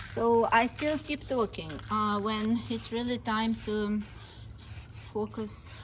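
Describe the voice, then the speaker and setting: A woman speaks very slowly with a non-native accent. Her pitch is fairly high. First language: not English. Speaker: meditation vlogger. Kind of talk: casual vlog with guided meditation. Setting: outdoors.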